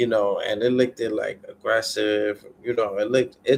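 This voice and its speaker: A man speaks at a moderate pace. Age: 30s. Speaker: livestreamer. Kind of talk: casual chat.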